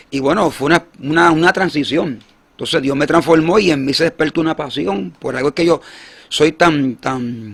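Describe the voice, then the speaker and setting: A man speaks with lively intonation and a fairly high pitch. Vocal fry runs through his voice. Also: moderate pace. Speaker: evangelist. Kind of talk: testimony. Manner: halting.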